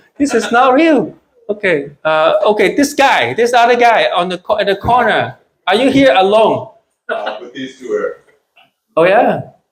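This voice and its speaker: A man's high voice in a Chinese accent, fairly slow, with very wide pitch swings and long, frequent pauses. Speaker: stand-up comedian. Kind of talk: live stand-up comedy set. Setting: small comedy club, live audience.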